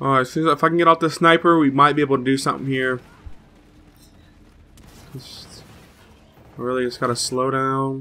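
A man speaks at a moderate pace in a bright, sharp tone. His pitch moves little, and long pauses come often. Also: medium pitch for a man.

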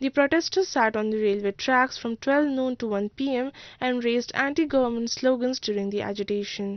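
High-pitched female speech, its pitch variation ordinary. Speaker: news reporter. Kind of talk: news reading.

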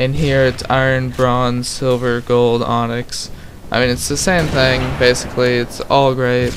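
Noticeable background noise behind a man talking at a medium pitch. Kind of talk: gameplay commentary. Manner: monotone.

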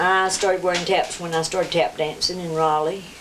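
Speaking with a Southern Appalachian accent, a woman uses a fairly low pitch over light background noise. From Jackson County, western North Carolina. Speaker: clog and buck dancer. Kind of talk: interview answer. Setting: home recording. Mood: warm, reminiscing. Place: home room.

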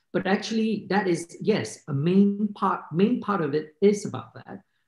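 Over a quiet background with audible room echo, a man speaks at a very slow pace. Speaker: filmmaker. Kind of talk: panel discussion. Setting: video call. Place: home room. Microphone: video call.

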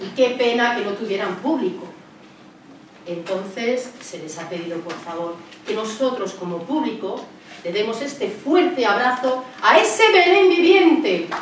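A woman speaks at a fairly slow pace with big swings in loudness, with light background noise and audible room echo. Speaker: presenter. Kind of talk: public announcement to an audience. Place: hall. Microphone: camera far.

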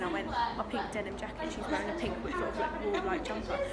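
Speech races at a very fast pace. Crowd noise runs in the background. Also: woman. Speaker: vlogger. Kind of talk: casual vlog chat. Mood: cheerful, chatty. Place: cafe. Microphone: phone near.

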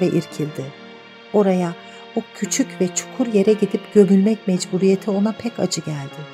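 At a moderate pace and with ordinary pitch variation, the speech plays over music in the background. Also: woman. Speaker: audiobook narrator. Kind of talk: audiobook reading of a novel.

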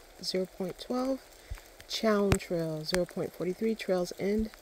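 Over light background noise, a woman's voice comes through dry, with no echo. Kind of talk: casual vlog narration. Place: forest. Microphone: phone near.

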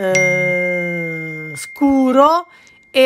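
A woman speaks with faint music in the background. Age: 60s. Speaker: embroidery craftswoman; embroidery teacher. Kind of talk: tutorial. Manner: chatty, informal. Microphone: phone near.

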